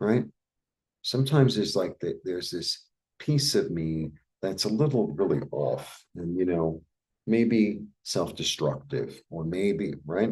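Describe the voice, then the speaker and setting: Speaking at a fairly slow pace, a man with an American accent uses a fairly low pitch and very wide pitch swings. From New York, Brooklyn. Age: 60s. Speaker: tarot reader. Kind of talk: casual tarot reading monologue. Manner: casual, conversational with filler words.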